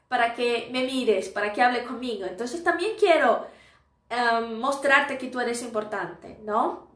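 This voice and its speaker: Fairly slow speech from a woman with a high voice, in a room with audible echo. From Brazil. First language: Portuguese (speaking Spanish). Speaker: Spanish teacher. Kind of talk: live stream lesson. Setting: live stream. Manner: casual, conversational.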